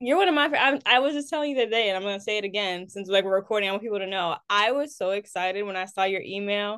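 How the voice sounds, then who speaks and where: A woman talking at a very fast pace with hardly any pauses and ordinary pitch variation. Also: medium pitch for a woman. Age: 20s. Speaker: singer-songwriter. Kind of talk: casual chat.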